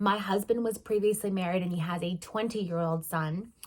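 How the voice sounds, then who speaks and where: A woman speaks at a medium pitch. Her pitch moves up and down an ordinary amount. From northeastern US. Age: 40s. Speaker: vlogger and travel agent. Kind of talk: casual vlog monologue. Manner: hesitant, many fillers.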